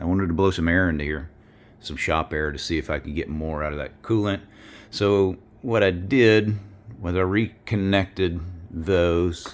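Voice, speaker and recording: This man has a very deep, low voice and a Southern US accent. He talks at a moderate pace with ordinary pitch variation. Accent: Southern US accent, self-noted. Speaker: car mechanic video maker. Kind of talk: hands-on tutorial. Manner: casual, halting with fillers.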